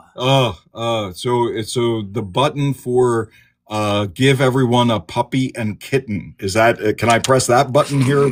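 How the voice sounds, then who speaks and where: A man speaks in an ordinary speaking voice with an American accent, at medium pitch with ordinary pitch variation and a fairly slow pace, on a very clean recording with a silent background. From Delaware, US. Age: 50s. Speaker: trauma therapist. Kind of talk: casual podcast interview.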